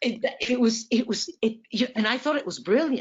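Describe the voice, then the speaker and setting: Ordinary pitch variation at a fairly slow pace. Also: woman. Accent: French. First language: French. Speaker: poet and writing teacher. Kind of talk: interview on a video call. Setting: video call.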